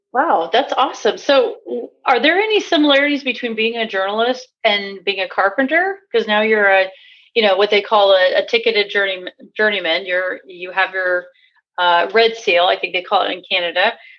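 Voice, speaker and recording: An ordinary speaking voice from a woman, medium in pitch, with lively intonation at a moderate pace. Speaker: podcast host, tradesperson. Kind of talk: interview. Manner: conversational, uses fillers.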